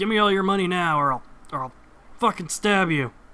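This put-on character voice is gruff, pitched in the middle range, and delivered at a moderate pace. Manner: threatening.

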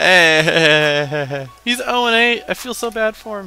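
A man speaks with very wide pitch swings in a dry sound with no echo, with music playing in the background. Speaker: gaming commentator. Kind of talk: casual gameplay commentary. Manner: casual, excitable. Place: home room. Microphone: headset.

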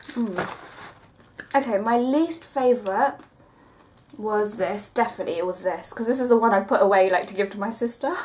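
Over light background noise, the speaker keeps a moderate pace broken by long, frequent pauses. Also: woman, ordinary pitch variation. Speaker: vlogger. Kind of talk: casual vlog chat, product review. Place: home room. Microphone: camera far.

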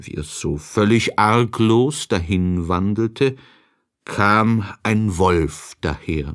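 A man speaks slowly at a fairly low pitch with ordinary pitch variation. The recording is very clean, with a silent background.

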